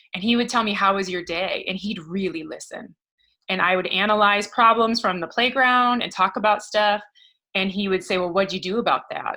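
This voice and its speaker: Loud and bright with a sharp tone, a woman speaks at a moderate pace in an American accent. Her pitch is medium and her intonation fairly even. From US Midwest, Michigan. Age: 40s. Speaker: professor and women's leadership coach. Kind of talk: interview.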